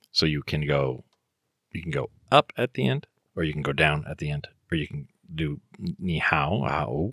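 In a dry, close recording with no echo, a man with an American accent speaks at a moderate pace in a very deep, low pitch, his tone bright and sharp with vocal fry, ordinary pitch variation, and long, frequent pauses. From US West Coast. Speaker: school counselor and teacher. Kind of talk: casual chat.

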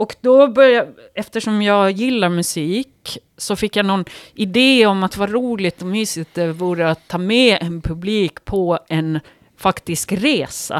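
A woman's medium-pitched voice at a fairly slow pace, with ordinary pitch variation, in a dry, close sound with no echo and a very clean recording with a silent background. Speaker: writer and yoga teacher. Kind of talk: casual chat. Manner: halting.

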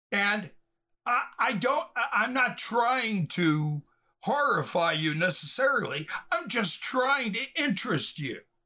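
A man's raised, projected voice with an American accent, high pitch, very wide pitch swings, a bright, sharp tone and a very slow pace. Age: 60s. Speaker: film director and writer. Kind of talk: interview. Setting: video call.

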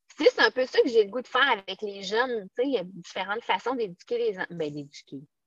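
A woman talks at a very fast pace with hardly any pauses and a fairly high pitch. Her intonation is lively, and the sound is dry and close with no echo. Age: 40s. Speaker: teacher. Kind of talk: casual chat.

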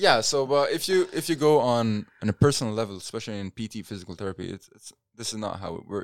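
Dry and close with no echo, a man's voice moves very fast with lively intonation. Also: medium pitch for a man, hardly any pauses, big swings in loudness. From Lebanon. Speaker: futsal player and coach. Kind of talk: interview.

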